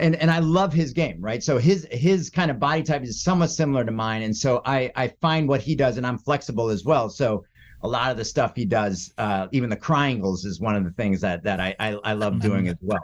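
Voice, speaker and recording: A man's medium-pitched voice, a plain, everyday voice with an American accent, fairly quick and lively in intonation, on a very clean recording with a silent background. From US, raised partly in South Florida (Boca Raton). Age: 50s. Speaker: jiu-jitsu practitioner and dancer. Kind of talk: casual interview chat.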